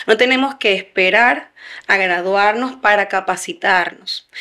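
Against a quiet background, a woman with a bright, sharp tone speaks at a fairly slow pace with ordinary pitch variation. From Venezuela. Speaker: human resources consultant; guest. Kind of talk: interview. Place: studio. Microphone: studio mic.

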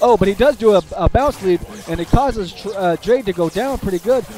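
A man speaks in a high pitch with an upbeat tone and lively intonation. Noticeable background noise comes through. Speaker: gaming video commentator. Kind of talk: live play-by-play game commentary. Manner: animated, excitable, chatty with filler words; upbeat, addresses audience directly.

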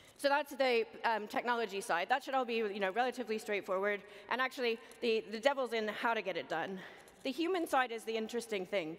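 A woman talks at a very fast pace, her pitch fairly high with ordinary variation. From North America. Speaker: management consultant; conference keynote speaker. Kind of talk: keynote speech. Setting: conference stage with audience. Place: hall. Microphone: headset.

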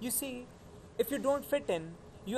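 A man speaks at a fairly quick pace with lively intonation. Light background noise can be heard. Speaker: actor performing a monologue. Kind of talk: acted monologue, college admission speech. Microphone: phone near.

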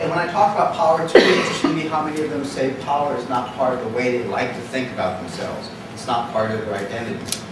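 A man talks at a very fast pace with ordinary pitch variation. There is audible room echo and noticeable background noise. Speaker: guest lecturer. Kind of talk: lecture. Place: classroom.

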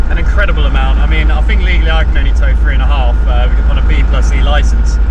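Loud background noise runs under a man's speech. The sound itself is dry with no echo. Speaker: car vlogger. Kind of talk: casual vlog chat. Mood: relaxed, cheerful. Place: car. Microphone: camera far.

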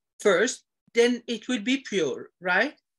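A woman speaks in a bright, sharp tone. The background is quiet. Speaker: devotee asking questions. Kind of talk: question in online religious class. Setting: video call. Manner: halting. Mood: hesitant, polite, apologetic. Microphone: video call.

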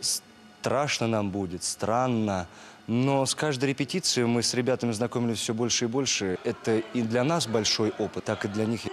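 Over faint music in the background, a man speaks at a moderate pace with very even loudness. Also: ordinary pitch variation. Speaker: actor. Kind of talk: interview answer. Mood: reflective, warm. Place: stage.

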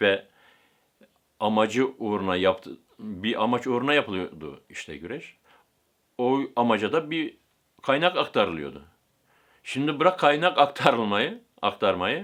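A man with vocal fry at a moderate pace, with big swings in loudness, very wide pitch swings and long, frequent pauses. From Turkey, Aegean (Bodrum area). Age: 60s. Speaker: camel wrestling breeder. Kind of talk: interview answers.

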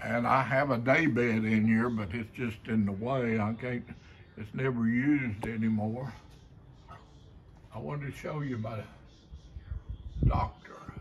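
A man with an Appalachian accent talks at a fairly slow pace with ordinary pitch variation and long, frequent pauses over light background noise. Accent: Appalachian Kentucky. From Kentucky. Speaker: folk artist, painter and sculptor. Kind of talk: casual talk to camera, gallery tour. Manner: slow, hesitant. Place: home room. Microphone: phone near.

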